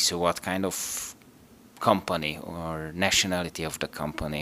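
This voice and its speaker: Bright and sharp in tone, a man speaks with a Hungarian accent. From Hungary. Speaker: operations manager, engineer. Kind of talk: interview. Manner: halting.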